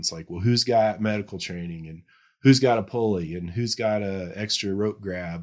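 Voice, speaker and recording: A man's plain, everyday voice with an American accent, fairly low pitch and a fairly quick pace, on a very clean recording with a silent background. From US South, Tennessee. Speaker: cave rescue instructor. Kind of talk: podcast interview.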